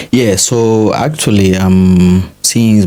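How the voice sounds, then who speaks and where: This man's voice sits at a very deep, low pitch. His intonation stays fairly even. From Guinea-Bissau (Bissau). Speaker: interviewee, African student in Russia. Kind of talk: interview conversation.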